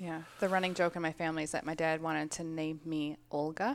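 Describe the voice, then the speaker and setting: A woman speaks with a Minnesotan accent. Her voice is very deep and low, at a moderate pace. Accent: Minnesota. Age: 30s. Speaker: gym member, Navy veteran and nurse. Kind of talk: casual interview.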